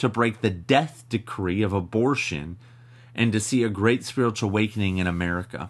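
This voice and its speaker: A man with a plain, everyday voice, medium pitch and ordinary pitch variation, at a moderate pace. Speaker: ministry podcast host. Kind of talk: teaching with scripture reading and prayer.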